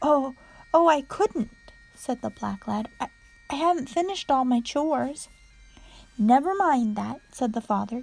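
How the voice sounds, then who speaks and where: Soft-spoken and high in pitch, a woman talks at a fairly slow pace with lively intonation and long, frequent pauses. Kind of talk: read story.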